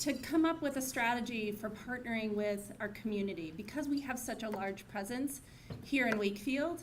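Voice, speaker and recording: With audible room echo and noticeable background noise, a woman speaks at a fairly high pitch using lively intonation. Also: moderate pace. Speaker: corporate community partner accepting award. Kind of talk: acceptance speech. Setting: gala stage with audience and mic. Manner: halting.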